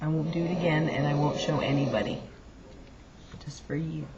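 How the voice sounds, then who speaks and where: Whispered speech from a woman, noticeable noise behind it, moderate in pace. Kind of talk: casual home video.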